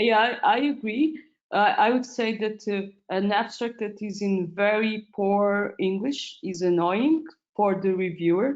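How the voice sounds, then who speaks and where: Speaking at a fairly slow pace with a non-native accent, a woman uses a fairly high pitch and ordinary pitch variation. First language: not English. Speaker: medical doctor, paper reviewer. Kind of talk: webinar panel discussion. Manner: halting.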